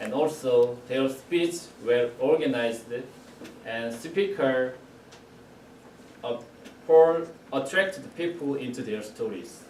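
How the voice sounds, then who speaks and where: Amid audible room echo and noticeable background noise, a man with a Korean accent and medium pitch talks very slowly with lively intonation, pausing long and often. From South Korea. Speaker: club member giving first speech. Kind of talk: prepared speech. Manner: halting.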